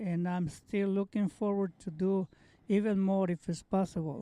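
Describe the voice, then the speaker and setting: Here a man speaks with a Mexican accent. His pitch is high and his intonation fairly even. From Mexico. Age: 70s. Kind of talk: interview answer. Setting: outdoors.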